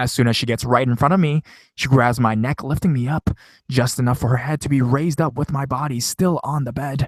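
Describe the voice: A plain read-aloud delivery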